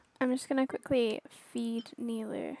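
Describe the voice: Recorded with a dry, close sound and no echo, a woman with a fairly high pitch and a slightly mellow tone speaks at a moderate pace with fairly even intonation and vocal fry.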